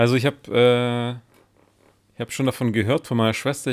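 A plain, everyday voice goes at a fairly quick pace. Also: man. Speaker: podcast co-host. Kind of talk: casual chat.

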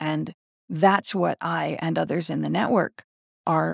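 A woman's very slow speech, dry and close with no echo, on a very clean recording with a silent background. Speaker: independent podcaster. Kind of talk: solo monologue. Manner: halting.

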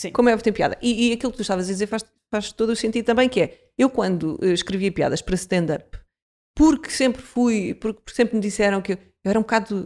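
In a very clean recording with a silent background, a woman talks very fast at a fairly high pitch with ordinary pitch variation. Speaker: podcast host. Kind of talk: casual chat.

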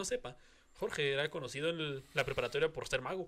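A man's fairly high voice, bright and sharp in tone, at a moderate pace. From Mexico. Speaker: podcast host. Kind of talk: casual chat.

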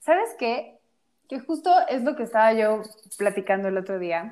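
In a Mexican accent, a woman speaks at a moderate pace with very wide pitch swings. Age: 20s. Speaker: podcast co-host. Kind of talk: casual chat.

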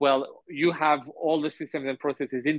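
A man talks at a fairly quick pace with a French accent. His pitch sits fairly high. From France. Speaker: entrepreneur. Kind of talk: interview. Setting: remote call. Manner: hesitant with fillers.

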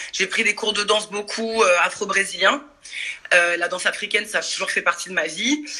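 Noticeable background noise sits behind the voice. A woman speaks at medium pitch. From Paris suburbs, France. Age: 40s. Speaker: dance and fitness workshop leader. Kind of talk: casual chat. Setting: video call.

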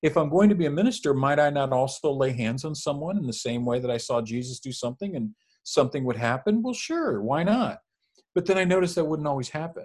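Talking very fast with lively intonation, a man uses a fairly high, somewhat breathy voice on a very clean recording with a silent background. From Mexican-American family, US. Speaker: former minister. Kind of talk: casual chat.

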